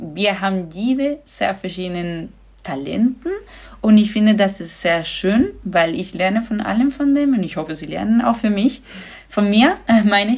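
A woman speaks at a moderate pace with a somewhat breathy voice and lively intonation. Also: medium pitch for a woman. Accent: Spanish. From Andalusia, Spain (Granada). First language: Spanish (speaking German). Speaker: handball goalkeeper. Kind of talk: podcast interview.

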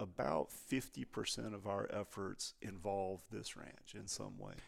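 A man's fairly low voice at a fairly slow pace, with a Texan accent. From Texas. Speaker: ranch research scientist. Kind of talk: casual interview.

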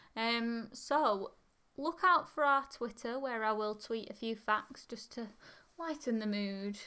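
A woman's fairly high, bright and sharp voice in an English accent, with ordinary pitch variation. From England. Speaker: history podcast co-host. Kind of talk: casual chat.

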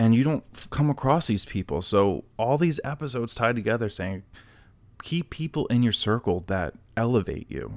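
Fairly quick and lively in intonation, a man speaks at a medium pitch in an unremarkable speaking voice. The recording is very clean, with a silent background. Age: 30s. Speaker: self-help podcast host. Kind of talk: solo podcast monologue. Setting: home recording in apartment.

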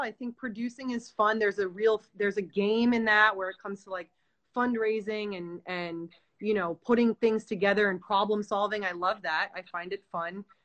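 With an American accent, a woman in a plain, everyday voice talks at a fairly quick pace and a fairly high pitch. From New York. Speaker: film director and producer. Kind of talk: casual chat interview.

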